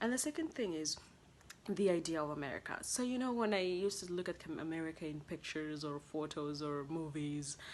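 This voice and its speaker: A woman's very deep, low-pitched voice with a Kenyan accent and lively intonation. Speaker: international college student vlogger. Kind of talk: casual vlog monologue. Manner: conversational with fillers.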